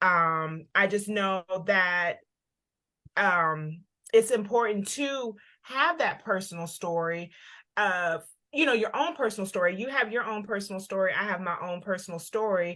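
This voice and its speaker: A woman with a Southern US accent speaks at a medium pitch and a fairly slow pace, her tone bright and sharp with ordinary pitch variation. The recording is very clean, with a silent background. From US South. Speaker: parent advocate co-hosting a livestream. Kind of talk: casual livestream discussion. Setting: Facebook live video.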